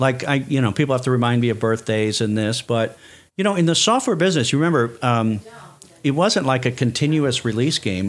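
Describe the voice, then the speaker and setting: The man's pitch sits mid-range and he uses a normal speaking voice. He talks at a fairly quick rate. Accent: American. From US Midwest, Chicago. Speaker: startup consultant. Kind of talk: podcast interview.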